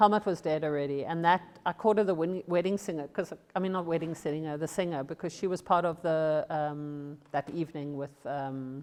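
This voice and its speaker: With fairly even intonation, a woman speaks at a fairly quick pace. Her voice is fairly low in pitch. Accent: South African. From South Africa. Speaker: former model and photographer. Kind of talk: casual talk at an exhibition. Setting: exhibition with audience.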